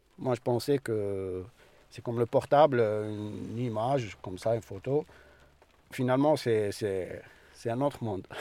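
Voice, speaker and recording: Fairly slow speech with long, frequent pauses and ordinary pitch variation. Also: man, medium pitch for a man. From Algeria. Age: 30s. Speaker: asylum seeker, workshop participant. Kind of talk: testimony.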